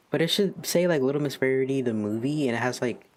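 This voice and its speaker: A man at medium pitch and moderate pace, amid noticeable background noise. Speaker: streamer and digital artist. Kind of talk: casual chat. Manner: monotone; halting.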